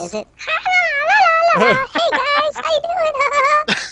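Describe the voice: A squeaky put-on character voice at an extremely high pitch lurches through very wide pitch swings.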